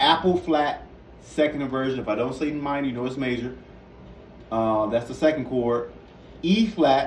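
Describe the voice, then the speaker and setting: Amid audible room echo and noticeable background noise, a medium-pitched man talks with ordinary pitch variation and long, frequent pauses. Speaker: piano teacher. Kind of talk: tutorial. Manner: fast.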